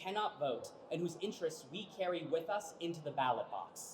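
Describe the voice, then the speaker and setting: Fairly quick, lively speech from a man with high pitch, over noticeable background noise. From Kansas, raised from childhood after immigrating from Mexico. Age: 20s. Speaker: voting rights activist. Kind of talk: rally speech. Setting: indoor rally in capitol rotunda.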